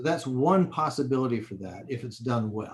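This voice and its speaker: The man's voice comes across as somewhat breathy. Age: 60s. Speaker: professor. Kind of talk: interview. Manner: hesitant, many fillers.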